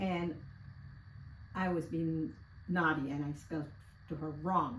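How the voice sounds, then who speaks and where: The room gives off an audible echo. A woman speaks with a fairly low pitch and ordinary pitch variation. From Guyana. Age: 70s. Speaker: interviewee. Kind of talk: casual interview, life story.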